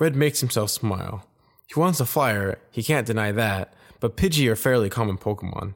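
Intonation here is lively. The delivery is plain reading aloud.

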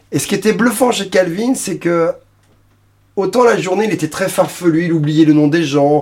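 A man with a high-pitched voice speaks at a moderate pace with ordinary pitch variation, leaving long, frequent pauses. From France, Paris region (Suresnes). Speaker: blues singer-guitarist. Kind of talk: interview. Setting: recording studio.

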